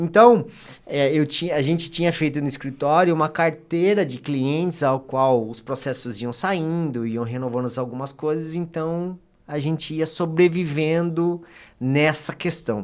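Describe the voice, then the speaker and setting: On a very clean recording with a silent background, a man in an unremarkable speaking voice talks at a fairly slow pace with a fairly high pitch and ordinary pitch variation. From Brazil, Bragança Paulista (São Paulo state). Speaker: lawyer giving testimony on podcast. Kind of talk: testimony.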